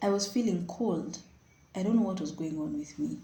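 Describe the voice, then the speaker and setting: A woman speaks fairly quickly in a dark, mellow, somewhat breathy tone. Room echo is audible. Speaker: vlogger. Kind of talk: personal storytelling. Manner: animated.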